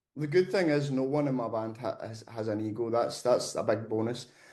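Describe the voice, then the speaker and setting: The man talks with a Scottish accent at medium pitch, his tone dark and mellow and his intonation fairly even. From Scotland. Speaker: metal band vocalist. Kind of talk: interview.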